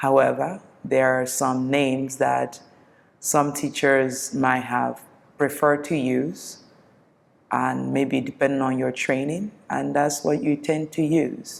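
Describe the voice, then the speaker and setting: Very slow and fairly even in intonation, the voice has vocal fry and a calm, gentle tone. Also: woman, very deep, low pitch for a woman. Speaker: yoga teacher. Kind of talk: guided yoga class instruction.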